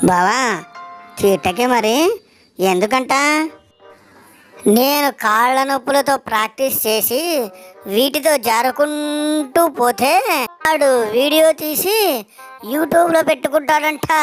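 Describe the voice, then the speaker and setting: A female-sounding, put-on character voice speaks very slowly over faint music in the background. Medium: voice reel. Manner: teasing, innocent questioning.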